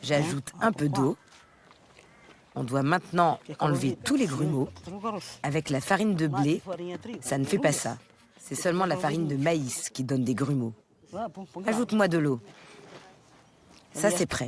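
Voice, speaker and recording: Delivered at a fairly slow pace, the speech has lively intonation and long, frequent pauses. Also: woman, very deep, low pitch for a woman. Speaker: home cook. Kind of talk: cooking demonstration.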